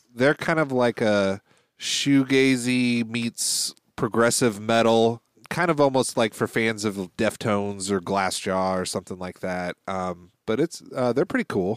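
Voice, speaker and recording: A man with an American accent speaks in a normal speaking voice, fairly low in pitch with ordinary pitch variation. The sound is dry and close, with no echo. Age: 30s. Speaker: guitarist and podcast co-host. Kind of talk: casual chat.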